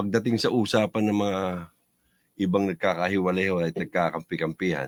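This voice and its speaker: A man's very deep, low voice at a very fast pace, fairly even in intonation, dry and close with no echo, in a very clean recording with a silent background. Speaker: fraternity member. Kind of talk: casual chat. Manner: loud.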